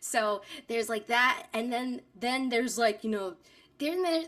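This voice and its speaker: Speaking with a New York accent, a woman talks at a moderate pace and fairly high pitch, on a very clean recording with a silent background. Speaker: voice actor. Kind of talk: interview.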